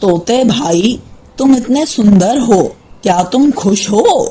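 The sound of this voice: A cartoonish character voice, female-sounding, fairly high in pitch and very slow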